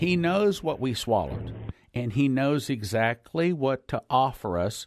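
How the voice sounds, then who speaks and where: A man with a plain, everyday voice speaks at medium pitch and a fairly slow pace, lively in intonation, over a quiet background. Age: 60s. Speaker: preacher. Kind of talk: sermon.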